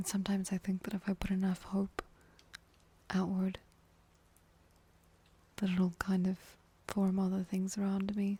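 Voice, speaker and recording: Soft-spoken, with a gentle tone, the speaker keeps a moderate pace broken by long, frequent pauses. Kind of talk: ASMR comforting talk for sleep. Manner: soft-spoken, gentle.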